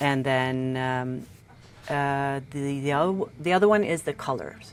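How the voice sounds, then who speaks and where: Speaking at a fairly slow pace with a Norwegian accent, a woman uses a very deep, low pitch. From Norway. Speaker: tattoo artist. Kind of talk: casual chat. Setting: podcast interview. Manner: halting.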